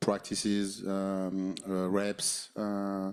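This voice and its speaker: A man with a French accent speaks in a very deep, low voice with a dark, mellow tone, recorded very cleanly against a silent background. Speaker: basketball head coach. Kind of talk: postgame press conference. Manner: halting, many fillers and repeated words.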